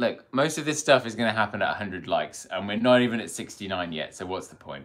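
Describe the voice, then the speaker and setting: A man with a British accent at a very fast pace, lively intonation and big swings in loudness. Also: medium pitch for a man. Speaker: mountain bike video creator. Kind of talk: casual live stream chat. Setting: motel room live stream.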